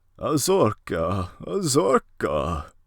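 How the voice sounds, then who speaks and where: A shaky, put-on character voice. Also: man, medium pitch for a man. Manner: mumbling.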